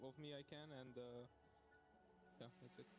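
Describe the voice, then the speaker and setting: Music plays in the background as a man speaks at a fairly quick pace in a fairly high pitch. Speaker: esports champion player. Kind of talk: post-match interview. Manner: halting.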